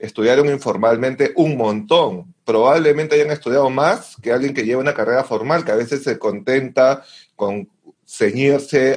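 At medium pitch and a moderate pace, a man talks in an unremarkable speaking voice with ordinary pitch variation. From Peru. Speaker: classical guitarist and music educator. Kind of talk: casual chat.

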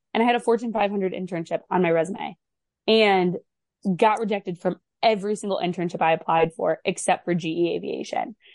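A woman with an American accent speaks in a normal speaking voice at medium pitch. Her pace is fairly quick, with ordinary pitch variation. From Michigan. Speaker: recent graduate, consultant. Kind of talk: interview chat.

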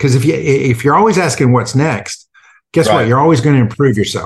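A man speaks with an American accent and a somewhat breathy voice. His pitch variation is ordinary. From United States. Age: 50s. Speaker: gulf war veteran and leadership coach. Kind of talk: interview. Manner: halting, repeated words.

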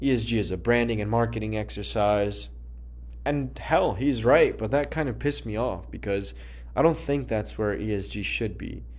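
A man's moderately paced speech carries audible echo from the room. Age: 20s. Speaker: ESG consultant. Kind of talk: solo monologue. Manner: halting.

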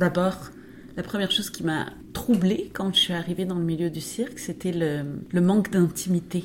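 A woman with a fairly low pitch speaks at a moderate pace. Her intonation stays fairly even. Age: 50s. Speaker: dancer and choreographer. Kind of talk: interview. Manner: halting.

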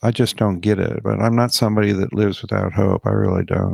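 This man has an American accent and a fairly low pitch, speaking at a moderate pace. The recording is very clean with a silent background, and the sound is dry and close with no echo. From US (army bases). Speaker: podcast host and author. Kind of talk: solo monologue podcast. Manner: animated.

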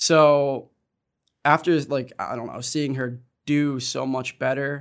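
On a very clean recording with a silent background, a man with a plain, everyday voice talks at a fairly high pitch with fairly even intonation. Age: 20s. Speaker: college student, son of parent in recovery. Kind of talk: casual panel conversation.

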